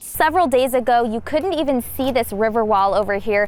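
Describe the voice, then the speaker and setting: Noticeable background noise sits behind a woman with an American accent who talks at a moderate pace in a high pitch. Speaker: TV news reporter. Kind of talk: TV news reporting. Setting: outdoors, on location. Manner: live field report.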